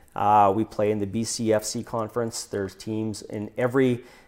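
The speaker uses monotone, flat intonation in a Canadian accent. The pace is moderate. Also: man, very clean recording, silent background. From Saskatchewan, Canadian Prairies. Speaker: hotel developer and entrepreneur. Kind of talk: interview.

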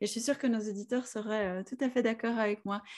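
A woman with a normal speaking voice talks at a fairly high pitch and keeps her intonation fairly even. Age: 40s. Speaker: podcast host. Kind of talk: interview.

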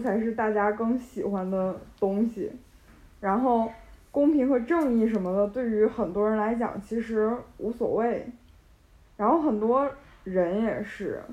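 Speaking at a fairly slow pace, a woman uses a fairly high voice with ordinary pitch variation. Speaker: university student podcast host. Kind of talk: casual chat.

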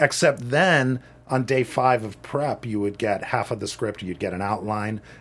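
A plain, everyday voice with ordinary pitch variation, at a moderate pace. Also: man, medium pitch for a man. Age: 50s. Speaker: assistant director and film teacher. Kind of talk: interview.

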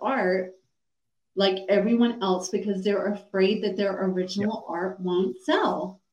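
A woman with an American accent, at a very slow pace. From US South, Atlanta, Georgia. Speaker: cognitive behavioral coach and speaker. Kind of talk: podcast interview.

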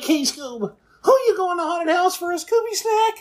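The pace is fairly quick. The voice is a put-on character voice pitched extremely high. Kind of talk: coaxing, talking to the dog. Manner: playful, cartoonish.

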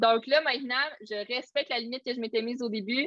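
A woman with a high pitch and a Quebec accent, an energetic tone, and a moderate pace. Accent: Québécois French. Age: 20s. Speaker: social media coach. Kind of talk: casual chat. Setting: video call.

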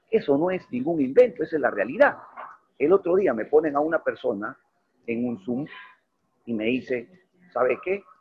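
Long, frequent pauses break up a man's speech at a moderate pace. His voice sits fairly high for a man and moves in very wide pitch swings. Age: 50s. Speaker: network marketing leader. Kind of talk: online mentoring presentation. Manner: animated.

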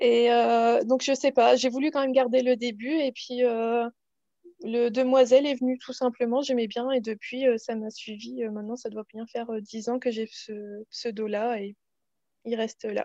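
A woman speaks at a fairly slow pace in a high pitch. Her tone is dark and mellow, and her intonation monotone and flat. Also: dry, close sound with no echo. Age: 30s. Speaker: knitting podcaster. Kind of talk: casual interview.

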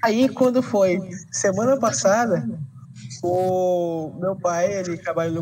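A man's high-pitched voice has a dark, mellow tone and lively intonation. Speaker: podcast host. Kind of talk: casual chat.

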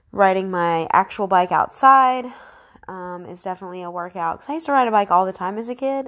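A woman with a plain, everyday voice, medium pitch, lively intonation and a fairly quick pace. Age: 20s. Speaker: solo podcaster. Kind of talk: casual monologue.

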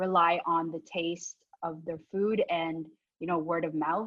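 A woman talks at a fairly slow pace with a Canadian accent. Her pitch sits fairly low. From Canada, born in the Philippines. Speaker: restaurant owner. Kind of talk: casual interview.

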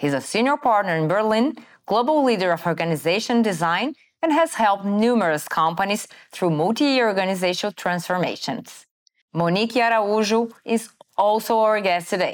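A woman at medium pitch in a Brazilian accent, fairly quick in pace, with lively intonation and very even loudness, on a very clean recording with a silent background. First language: Portuguese. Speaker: podcast host. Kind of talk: scripted narration; interview. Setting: studio.

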